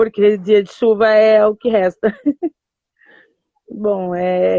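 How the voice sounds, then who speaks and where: A woman speaks at a medium pitch with a dark, mellow tone. Her intonation is monotone and flat, and the sound is dry and close with no echo. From southern Brazil, Porto Alegre. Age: 30s. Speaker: community activist and pedagogy student. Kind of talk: live stream interview. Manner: hesitant, many fillers.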